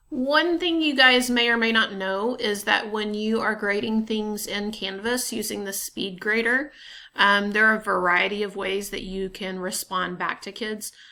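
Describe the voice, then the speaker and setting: A woman speaks at a moderate pace with a fairly high pitch and ordinary pitch variation. Her tone is bright and sharp, and the recording is very clean with a silent background. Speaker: teacher. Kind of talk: tutorial. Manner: casual, hesitant with fillers.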